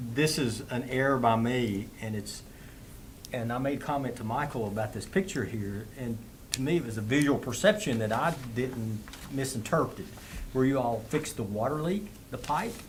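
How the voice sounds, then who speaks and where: A man with an American accent at a moderate pace, in audible room echo. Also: medium pitch for a man, ordinary pitch variation. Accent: hillbilly. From Southwest Virginia (Abingdon area). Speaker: town council member. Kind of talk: council meeting discussion.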